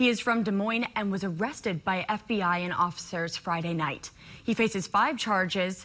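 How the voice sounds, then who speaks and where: An American accent colors a woman's ordinary speaking voice, which sits at a medium pitch with ordinary pitch variation and a moderate pace. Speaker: TV news anchor and journalist. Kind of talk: TV news anchor read. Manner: clear, professional, brisk.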